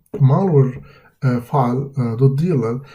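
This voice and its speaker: A man speaks at a moderate pace with a medium pitch and fairly even intonation. His voice is somewhat breathy with a dark, mellow tone, and audible room echo surrounds it. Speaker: cybersecurity instructor. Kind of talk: lecture. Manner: halting, many fillers.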